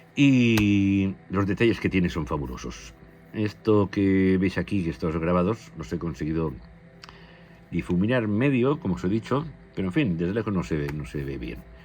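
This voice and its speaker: A man's very deep, low voice with very wide pitch swings at a moderate pace, music playing in the background. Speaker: airgun replica reviewer. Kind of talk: product review.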